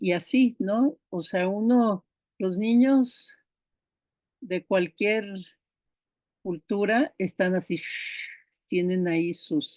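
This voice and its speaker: The speech is very slow, with long, frequent pauses and ordinary pitch variation. The tone is dark and mellow, in a dry, close sound with no echo. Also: woman, medium pitch for a woman. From Brazil. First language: Icelandic (speaking Spanish). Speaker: diploma course instructor. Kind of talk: online class lecture.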